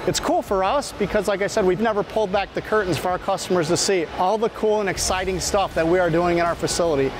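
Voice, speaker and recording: Over noticeable background noise but with a dry sound and no echo, a man with a high voice and ordinary pitch variation speaks very fast with hardly any pauses. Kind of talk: interview answer. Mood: upbeat, proud. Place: factory. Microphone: lapel.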